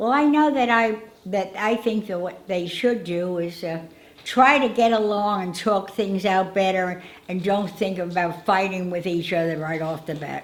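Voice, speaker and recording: Over noticeable background noise and audible room echo, a woman with an American accent talks at a medium pitch and a moderate pace with ordinary pitch variation. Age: 90s. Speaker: elderly interviewee sharing life memories. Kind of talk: casual interview. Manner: halting, with many fillers and repetitions.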